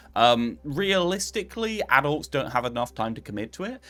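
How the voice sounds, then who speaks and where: A man with an English accent talks at a moderate pace in a fairly high voice with very wide pitch swings. His tone is bright and sharp, with vocal fry. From England. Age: 20s. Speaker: streamer. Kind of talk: casual chat. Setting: live stream.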